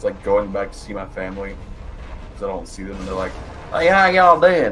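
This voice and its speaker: With a Southern US accent, a man talks at a fairly quick pace amid audible room echo and music in the background. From US South. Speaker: gaming streamer. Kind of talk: casual chat.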